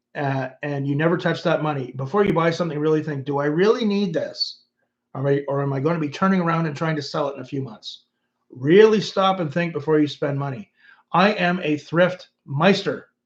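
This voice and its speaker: A man's voice is fairly high in pitch, with ordinary pitch variation. He has a normal speaking voice and moves at a fairly quick pace. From Canada. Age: 50s. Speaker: YouTuber and former musician. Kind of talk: livestream chat reading comments. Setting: livestream.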